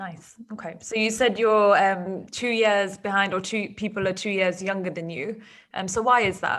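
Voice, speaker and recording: A woman with a British accent, medium-pitched, at a moderate pace and with fairly even intonation. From UK. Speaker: podcast host. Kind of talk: podcast interview.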